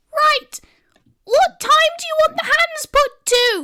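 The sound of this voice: Pitched extremely high, a woman performs a squeaky put-on character voice. Her pace is fairly slow.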